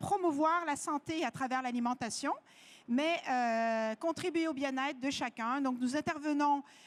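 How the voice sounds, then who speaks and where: The speaker is a woman with a slight French-Canadian accent. Her voice is high-pitched, with ordinary pitch variation. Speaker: nutritionist. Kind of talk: lecture. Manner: hesitant, many fillers.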